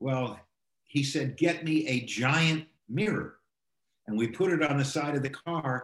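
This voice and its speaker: A man's somewhat breathy, fairly high-pitched voice at a fairly slow pace, with long, frequent pauses. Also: ordinary pitch variation. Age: 70s. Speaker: film producer and former assistant director. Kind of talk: casual interview. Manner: energetic.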